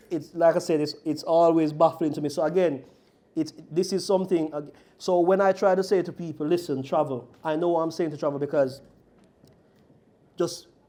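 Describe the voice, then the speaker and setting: A man talks at a fairly quick pace with a dark, mellow tone and fairly even intonation. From Jamaica. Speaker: group discussion participant. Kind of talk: casual chat. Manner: halting.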